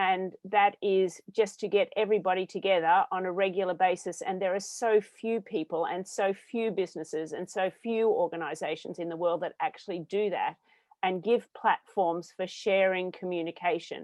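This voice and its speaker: A woman with an Australian accent, fairly even intonation and a moderate pace. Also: medium pitch for a woman, hardly any pauses. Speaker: social enterprise founder. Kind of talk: panel discussion.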